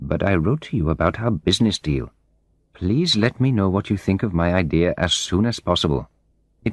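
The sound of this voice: An unforced reading voice carries lively intonation.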